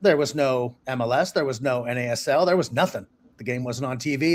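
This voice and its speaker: In an ordinary speaking voice, a man with an American accent talks at a fairly quick pace with ordinary pitch variation, on a very clean recording with a silent background. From US, Massachusetts (Boston). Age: 60s. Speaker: journalist and author. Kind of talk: interview conversation.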